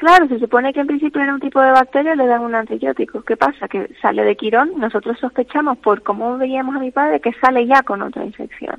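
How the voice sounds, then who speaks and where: Speaking at a fairly quick pace with hardly any pauses, a woman uses a high pitch and ordinary pitch variation. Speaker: caregiver's daughter. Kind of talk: radio interview. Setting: phone call. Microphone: bad connection.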